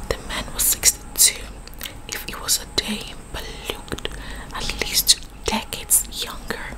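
Through loud background noise, a soft-spoken woman whispers at a fairly slow pace. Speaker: story reader. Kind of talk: reading a novel aloud, casual asides. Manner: soft ASMR whisper while reading. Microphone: phone near.

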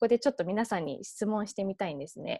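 With an English accent and a dark, mellow tone, a woman talks at a very fast pace in a dry recording with no echo and a quiet background. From England. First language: English (speaking Japanese). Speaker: nonprofit founder; guest lecturer. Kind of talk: online lecture.

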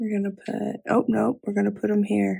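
The voice has a dark, mellow tone, a slightly husky edge and vocal fry, moving at a moderate pace with little pitch movement. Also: woman, medium pitch for a woman.

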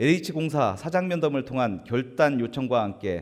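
A man uses an unremarkable speaking voice at medium pitch. He talks at a fairly slow pace with lively intonation. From South Korea, Gimpo (Gyeonggi). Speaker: provincial assembly member. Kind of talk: formal floor speech. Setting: assembly chamber. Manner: formal.

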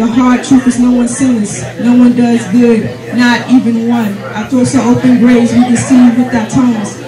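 A woman speaks at a high pitch in a monotone, flat intonation. Crowd noise fills the background. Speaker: spoken word poet. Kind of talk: spoken word poetry performance, rhythmic rhymed verse on faith. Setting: open mic night, live audience. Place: cafe.

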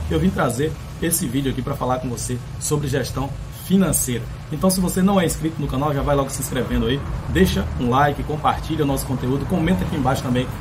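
A very fast-talking man with ordinary pitch variation, amid noticeable background noise. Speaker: pool service channel host. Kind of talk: casual vlog chat. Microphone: phone near.

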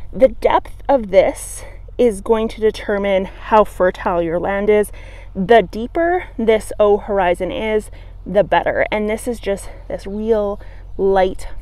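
Speaking at a very slow pace, a woman uses ordinary pitch variation in a dry sound with no echo. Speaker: gardening educator. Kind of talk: tutorial. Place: garden. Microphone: phone near.

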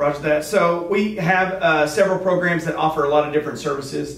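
A man rattles along at a very fast pace with fairly even intonation, and the room echo is audible. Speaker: guest. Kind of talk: interview answer. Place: meeting room. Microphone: camera far.

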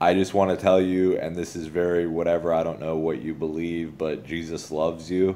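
A man's very deep, low voice with a dark, mellow tone, fairly even intonation, a moderate pace and hardly any pauses, over light background noise. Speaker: video blogger. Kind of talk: religious encouragement monologue. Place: home room. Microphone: phone near.

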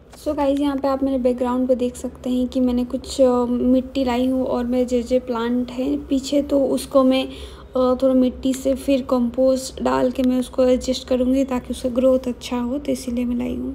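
Over light background noise, a woman speaks with a high pitch and monotone, flat intonation. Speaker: vlogger. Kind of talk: casual vlog chat. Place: home room. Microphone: phone near.

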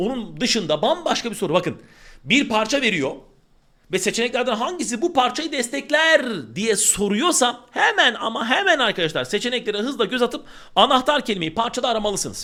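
A man's extremely high-pitched, raised, projected voice, bright and sharp in tone, animated, with lively intonation at a fairly quick pace. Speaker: Turkish language teacher. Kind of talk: online exam-prep lesson.

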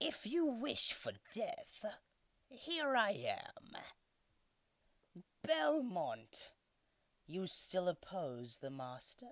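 At a very slow pace, this put-on character voice holds a fairly high pitch. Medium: dub.

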